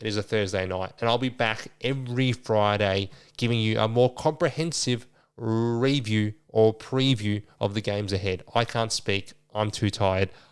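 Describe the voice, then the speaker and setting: In an Australian accent, a man mumbles at a medium pitch with fairly even intonation. He keeps a moderate pace on a very clean recording with a silent background. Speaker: sports podcast host. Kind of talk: casual solo podcast. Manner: low energy, mumbling.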